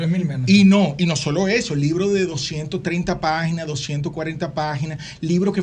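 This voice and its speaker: There is audible room echo as a man speaks. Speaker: publishing industry executive. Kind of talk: interview.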